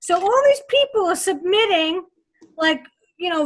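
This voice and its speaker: A woman speaks with a strong New York accent. Her pitch is extremely high. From Long Island, New York. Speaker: radio co-host. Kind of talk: casual chat.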